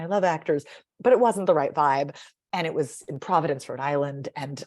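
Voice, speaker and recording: An animated tone at a moderate pace with ordinary pitch variation. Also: woman. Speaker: speech coach and author. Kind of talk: interview conversation. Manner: chatty.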